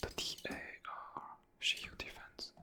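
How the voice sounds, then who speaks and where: A whisper comes through over noticeable background noise. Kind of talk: ASMR gaming commentary. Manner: whispered.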